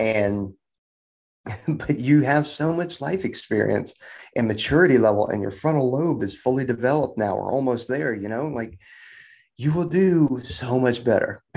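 A man with an unremarkable speaking voice at a medium pitch, lively intonation and a moderate pace, over a quiet background. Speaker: combat controller. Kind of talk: casual chat. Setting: video call.

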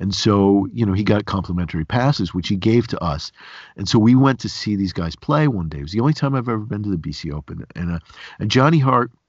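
Speaking in an upstate New York accent, a man with a fairly low pitch talks at a fairly quick pace with lively intonation. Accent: upstate New York American. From Binghamton area, upstate New York. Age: 50s. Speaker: podcast host and cartoonist. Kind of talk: casual interview conversation.

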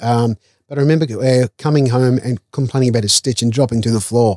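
On a very clean recording with a silent background and a dry, close sound with no echo, a man with an Australian accent and a medium-pitched voice talks at a very fast pace. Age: 50s. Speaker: chef and caterer. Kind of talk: casual interview.

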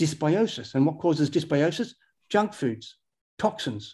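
This voice has a dark, mellow tone and an Australian accent. It moves at a moderate pace with lively intonation. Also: man, very clean recording, silent background. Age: old. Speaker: health researcher and author. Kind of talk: interview.

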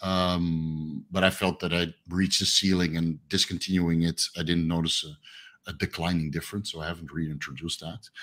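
Hardly pausing, a man with a very deep, low pitch talks at a moderate pace in a monotone, flat intonation. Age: 30s. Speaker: fitness coach and YouTuber. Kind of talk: casual interview. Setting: video call.

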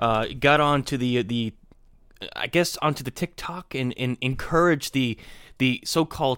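On a very clean recording with a silent background, a man speaks in a bright, sharp tone with ordinary pitch variation. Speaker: podcast host. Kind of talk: casual political commentary. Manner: halting, searching for words.

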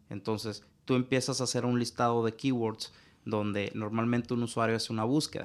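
A man speaks with a Mexican accent at a medium pitch. His intonation stays flat and monotone. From Mexico. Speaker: digital marketing consultant. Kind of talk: interview.

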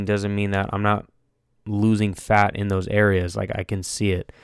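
In a very clean recording with a silent background, a man with a fairly low pitch speaks in a monotone, flat intonation at a moderate pace. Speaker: solo fitness and diet podcaster. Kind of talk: casual monologue.

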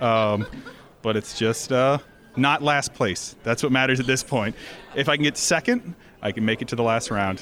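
Behind this man's American-accented speech, background noise is clearly audible. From Florida. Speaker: bartender, cocktail competitor. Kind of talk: interview at live event.

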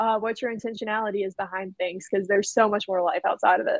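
A woman with an American accent. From North Carolina. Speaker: teacher. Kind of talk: roundtable discussion.

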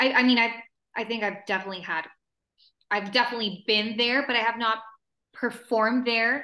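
A woman's bright, sharp voice sits at a fairly high pitch with ordinary pitch variation. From El Paso, Texas and Juarez, Mexico. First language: Spanish. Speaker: actress and singer. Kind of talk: interview.

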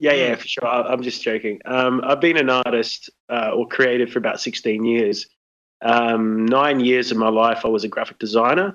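A man speaks with an Australian accent at a moderate pace. His intonation stays fairly even. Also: medium pitch for a man. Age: 30s. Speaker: artist and card game designer. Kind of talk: casual interview.

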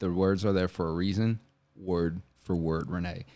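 On a very clean recording with a silent background, a man in an American accent keeps a moderate pace. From Orlando, Florida. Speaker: actor. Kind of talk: casual chat.

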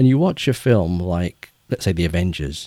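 A man's very deep, low voice with an English accent, dark and mellow in tone, lively intonation, on a very clean recording with a silent background. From England. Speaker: children's author. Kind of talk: interview.

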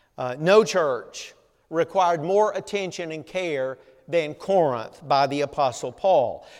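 A man with a Southern US accent speaks at a fairly slow pace in a high voice, with ordinary pitch variation, on a very clean recording with a silent background. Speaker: pastor. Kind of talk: sermon. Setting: church.

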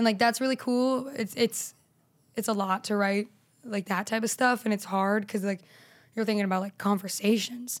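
A woman speaks in a plain, everyday voice at a moderate pace, her fairly high pitch held in fairly even intonation, on a very clean recording with a silent background. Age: 20s. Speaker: stand-up comedian. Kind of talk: casual chat.

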